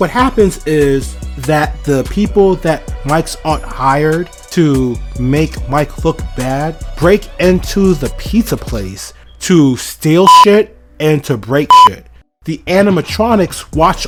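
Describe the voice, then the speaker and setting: A very slow pace over music in the background. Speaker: movie reviewer. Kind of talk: casual movie review commentary.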